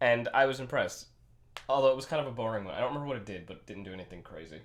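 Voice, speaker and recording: Vocal fry runs through this man's very fast delivery. His intonation is lively, and his loudness swings widely. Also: medium pitch for a man. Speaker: game master. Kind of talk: tabletop role-play session. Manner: halting.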